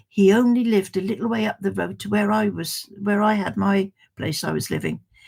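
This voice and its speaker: A somewhat breathy woman with an English accent, at a moderate pace. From England. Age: 80s+. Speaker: livestream host. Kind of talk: casual chat. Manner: halting.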